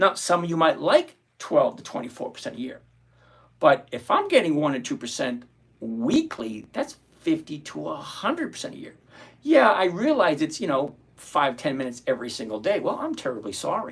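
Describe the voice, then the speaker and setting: At a moderate pace, a man talks with big swings in loudness. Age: 60s. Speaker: options trading livestream host. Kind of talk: live stream Q&A, reading chat questions. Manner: casual, conversational; halting, self-correcting.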